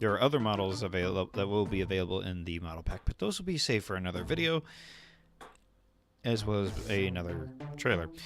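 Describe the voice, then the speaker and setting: Using long, frequent pauses, a man with a fairly low pitch talks at a very fast pace with lively intonation. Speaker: YouTuber showing game models. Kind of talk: tutorial. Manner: casual.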